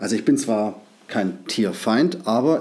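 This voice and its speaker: Very slow in pace, a man speaks with medium pitch and a dark, mellow tone. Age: 40s. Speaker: podcast host. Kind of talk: casual solo monologue. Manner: halting, many filler sounds.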